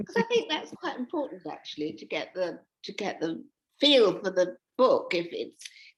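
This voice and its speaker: A woman with an English accent speaks at a moderate pace, her loudness swinging widely. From England. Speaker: author. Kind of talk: interview. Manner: halting.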